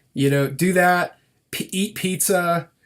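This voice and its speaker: This man has a high pitch and an American accent. His pitch varies in an ordinary way. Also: very clean recording, silent background. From US Midwest. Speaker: podcast host. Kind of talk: interview.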